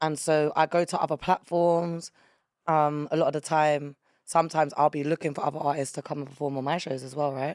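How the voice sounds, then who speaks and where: In a very clean recording with a silent background and a dry, close sound with no echo, a woman speaks fairly quickly in a very deep, low pitch with monotone, flat intonation. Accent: London. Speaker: rapper and music promoter. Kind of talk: casual chat.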